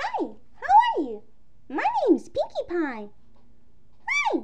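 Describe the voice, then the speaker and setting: An extremely high-pitched, put-on character voice comes through at a fairly slow pace. Clear background noise can be heard. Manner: cheerful, excited.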